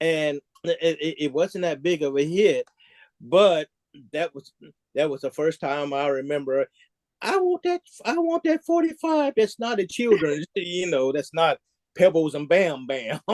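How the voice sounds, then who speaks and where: A man with an American accent speaks at a high pitch with ordinary variation. The sound is dry and close, with no echo. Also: fairly slow pace. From US South, Nashville Tennessee and Kentucky. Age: 60s. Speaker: music historian guest. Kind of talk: interview. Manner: halting, repeats words.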